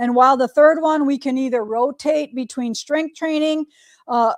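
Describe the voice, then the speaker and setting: This woman's voice is high and her pace moderate. The recording is very clean, dry and close, with a silent background and no echo. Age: 50s. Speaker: quilting shop owner and livestream host. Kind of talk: casual livestream chat. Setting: studio. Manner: animated.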